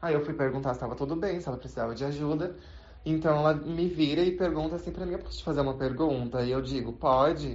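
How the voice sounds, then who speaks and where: Over audible room echo, a woman talks very fast in a very deep, low voice with vocal fry. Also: ordinary pitch variation. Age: 20s. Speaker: retail saleswoman. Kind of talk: recorded testimony.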